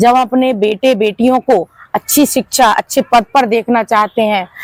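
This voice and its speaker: This woman's high voice has ordinary pitch variation and a dry, close sound with no echo. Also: very even loudness. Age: 60s. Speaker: community organization leader. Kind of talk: interview.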